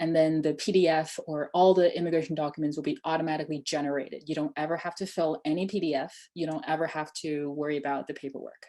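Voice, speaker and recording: With a Chinese accent, a woman speaks at a very fast pace with hardly any pauses, her very deep, low pitch carrying a dark, mellow tone and fairly even intonation. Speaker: immigration tech startup founder. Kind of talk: webinar Q&A.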